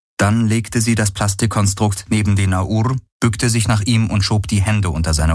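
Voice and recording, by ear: Fairly even intonation from someone reading aloud in a natural voice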